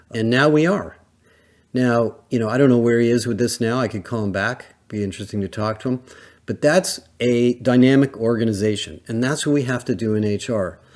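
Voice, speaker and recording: Here is an ordinary speaking voice, a man's, at a medium pitch. He talks at a fairly quick pace in a very clean recording with a silent background. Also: ordinary pitch variation. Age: 60s. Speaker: HR industry analyst, podcast host. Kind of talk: solo podcast monologue. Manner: conversational, with filler words.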